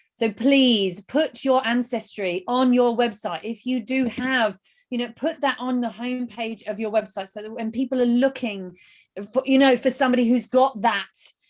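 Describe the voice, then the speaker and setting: A woman with a London accent speaks at a high pitch and a moderate pace. Her tone is enthusiastic. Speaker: webinar host. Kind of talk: webinar interview. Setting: live video webinar.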